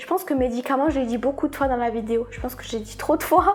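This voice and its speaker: The speaker moves at a fairly quick pace while music plays in the background. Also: woman. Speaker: vlogger. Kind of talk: personal confession vlog. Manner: hesitant, repeats words.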